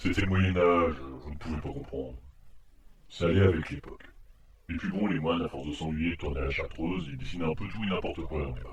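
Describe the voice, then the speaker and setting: With slight echo, a man puts on a character voice that is very deep and low in pitch, delivered at a very fast pace. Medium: audio drama. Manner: sarcastic, grumbling.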